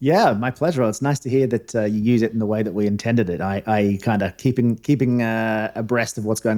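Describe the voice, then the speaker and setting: In a very clean recording with a silent background, a man with a fairly low pitch and a dark, mellow tone talks at a fairly quick pace with fairly even intonation. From Australia. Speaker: former diplomat, newsletter founder. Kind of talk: interview podcast.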